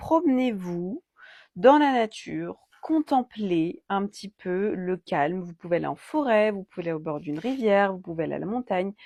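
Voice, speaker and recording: A woman with a medium pitch and very wide pitch swings talks at a moderate pace, recorded dry and close with no echo against a quiet background. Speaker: card reader and energy healer. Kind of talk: oracle card reading guidance.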